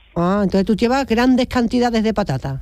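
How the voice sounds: A woman speaks at a fairly high pitch and moderate pace. Her tone is slightly mellow and her intonation lively.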